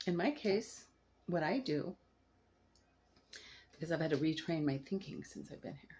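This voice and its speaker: A woman speaks at a fairly low pitch with lively intonation. Her pace is fairly slow and her voice somewhat breathy. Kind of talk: casual talk to camera.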